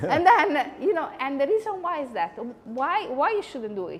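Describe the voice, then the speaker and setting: With an Italian accent, a woman speaks at a high pitch and a moderate pace with very wide pitch swings over noticeable background noise. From Italy. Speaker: psychology lecturer. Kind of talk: conversational lecture. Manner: animated.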